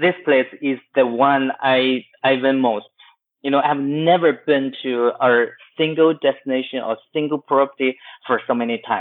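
A man's medium-pitched voice with a Chinese accent. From West China, Chengdu. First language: Mandarin Chinese. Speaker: travel agency founder. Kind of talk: interview. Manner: halting, many fillers.

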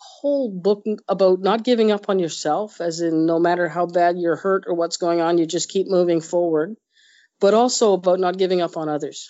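A woman speaks at a moderate pace in a medium pitch, with an unremarkable speaking voice. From Nova Scotia, Canada. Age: 50s. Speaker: senior police officer. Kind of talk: interview.

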